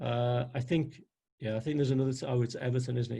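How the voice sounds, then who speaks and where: With a Liverpool accent, the voice is somewhat breathy and dark and mellow in tone, moving at a fairly quick pace. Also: man. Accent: Liverpool (Scouse). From northern England, Liverpool. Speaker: NLP trainer. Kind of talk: webinar presentation. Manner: animated.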